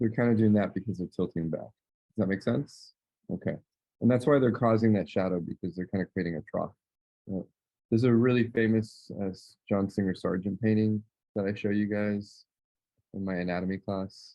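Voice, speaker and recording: A man talks at a fairly quick pace in an unremarkable speaking voice. His pitch is fairly low and his intonation fairly even. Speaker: art teacher. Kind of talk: tutorial. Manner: casual.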